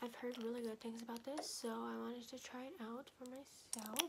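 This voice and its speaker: Loud background noise sits behind a woman speaking. Her pitch is fairly high and her intonation fairly even. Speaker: ASMR creator. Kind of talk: ASMR video. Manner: soft-spoken, fast. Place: home room. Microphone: phone near.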